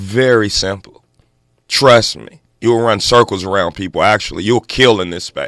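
A man with an American accent and a plain, everyday voice, at a moderate pace, with big swings in loudness, fairly even intonation and a very clean recording with a silent background. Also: fairly low pitch for a man. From South Los Angeles, Crenshaw district. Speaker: advertising agency co-founder, formerly incarcerated. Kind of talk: radio interview. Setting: radio studio.

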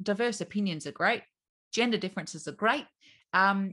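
A woman's medium-pitched voice with a bright, sharp tone, in an Australian accent, at a fairly quick pace over a quiet background. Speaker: business owner. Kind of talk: casual interview chat.

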